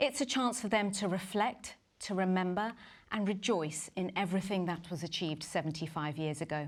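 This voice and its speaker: A woman with a plain, everyday voice speaks fairly quickly at a medium pitch, with ordinary pitch variation. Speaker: newsreader. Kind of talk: live broadcast presenting.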